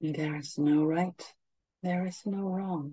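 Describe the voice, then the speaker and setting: A woman's fairly low, somewhat breathy voice at a very slow pace, with ordinary pitch variation. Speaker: meditation guide. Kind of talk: guided meditation. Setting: livestream to a group. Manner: slow, calm, soothing; soft, long pauses between phrases.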